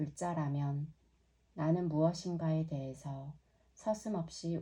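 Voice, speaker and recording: Speaking very slowly, a woman uses a very deep, low pitch and a dark, mellow tone that is somewhat breathy, with fairly even intonation. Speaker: yoga teacher. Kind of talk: reading aloud. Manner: clear.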